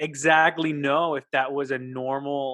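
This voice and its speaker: Speaking with an American accent, a man talks very slowly at a medium pitch with monotone, flat intonation. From Dayton, Ohio, US Midwest. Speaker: podcast co-host. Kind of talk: casual chat. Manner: halting.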